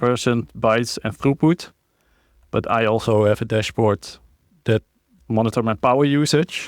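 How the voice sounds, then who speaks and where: A man speaks at a medium pitch with ordinary pitch variation and very even loudness, leaving long, frequent pauses. The recording is very clean with a silent background and a dry, close sound with no echo. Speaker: conference speaker. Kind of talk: technical talk with live demo. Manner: fast.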